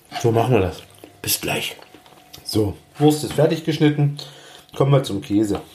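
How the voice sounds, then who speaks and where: Against noticeable background noise, a man with a fairly high pitch and ordinary pitch variation speaks at a moderate pace, leaving long, frequent pauses. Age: 40s. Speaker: cooking podcaster. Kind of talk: casual cooking monologue. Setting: home kitchen.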